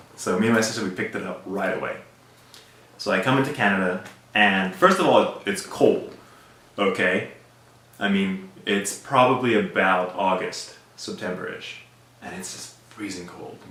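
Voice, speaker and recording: In a room with audible echo, a man speaks at a moderate pace with big swings in loudness and long, frequent pauses. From South Africa. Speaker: immigrant sharing life story. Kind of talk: personal storytelling interview. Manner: casual, conversational with fillers.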